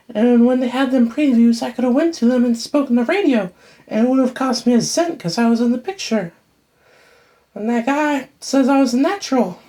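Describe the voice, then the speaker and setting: A woman speaks in a put-on character voice. Her pitch is high and her pace fairly quick. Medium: stage play. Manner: chatty, flirtatious.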